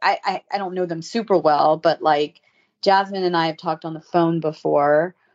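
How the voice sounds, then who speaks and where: Using an ordinary speaking voice, a woman with an American accent speaks at a fairly low pitch with fairly even intonation. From US South (Savannah, Georgia). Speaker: fashion blogger and reality TV cast member. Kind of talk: casual interview.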